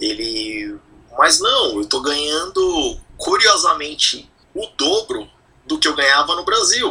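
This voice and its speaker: Noticeable background noise fills the space as a man talks at a very slow pace. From Brazil, São Paulo. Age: 40s. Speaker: emigrant sharing experience. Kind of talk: casual interview.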